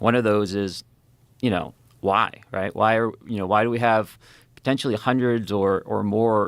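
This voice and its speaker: Speaking with a slight New England accent, a man uses a fairly low pitch and a monotone, flat intonation. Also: moderate pace. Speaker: former navy fighter pilot. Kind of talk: interview conversation. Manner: halting, many fillers.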